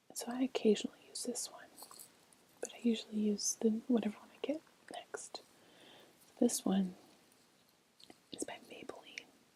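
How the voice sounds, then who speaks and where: Soft-spoken and high-pitched, a woman talks with ordinary pitch variation, long, frequent pauses and big swings in loudness. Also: moderate pace. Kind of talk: ASMR makeup rummaging video.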